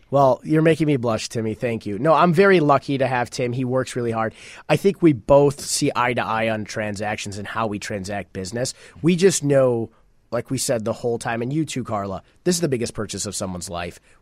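A man's unremarkable speaking voice at medium pitch, with lively intonation and a fairly quick pace, in a very clean recording over a silent background. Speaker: real estate agent, guest co-host. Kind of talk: casual chat.

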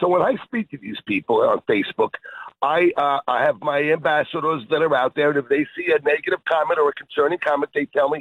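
A man speaks with a normal speaking voice at a fairly high pitch. He keeps a fairly quick pace and ordinary pitch variation. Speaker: fishing bait company owner. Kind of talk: radio interview.

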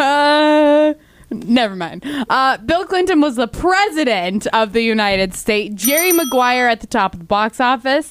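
At a moderate pace, a woman talks in a high, playful voice with very wide pitch swings. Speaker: radio host. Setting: studio. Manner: playful, bantering.

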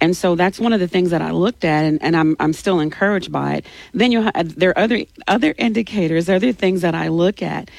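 In a Louisiana accent, a woman talks at a very fast pace with a fairly low pitch. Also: ordinary pitch variation. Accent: Louisiana Southern US. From Louisiana, Alexandria. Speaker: political candidate. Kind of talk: interview.

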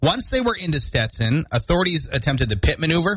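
A man's voice carries vocal fry and very wide pitch swings. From central Maine. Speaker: radio host. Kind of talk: morning radio show talk. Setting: radio studio.

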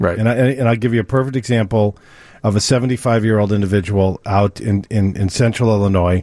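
Talking at a fairly quick pace in a New York accent, a man with a fairly low pitch keeps very even loudness and fairly even intonation. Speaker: mortgage lender. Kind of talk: call-in radio advice show. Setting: radio studio.

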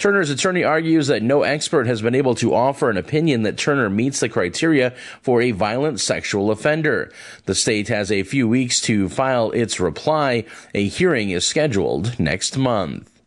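An ordinary speaking voice from a man at medium pitch, with lively intonation, very even loudness, a moderate pace and a quiet background. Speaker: radio news reader. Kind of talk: news reading. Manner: formal, brisk, even.

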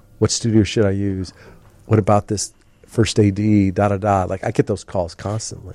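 In an American accent, a man speaks at a fairly low pitch with a dark, mellow tone and monotone, flat intonation. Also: moderate pace. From Chicago suburbs (Mount Prospect), US Midwest. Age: 50s. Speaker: film producer. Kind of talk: casual interview chat.

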